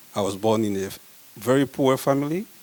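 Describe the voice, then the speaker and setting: A man with a Congolese accent over noticeable background noise. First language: French. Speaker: medical researcher. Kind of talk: conference talk.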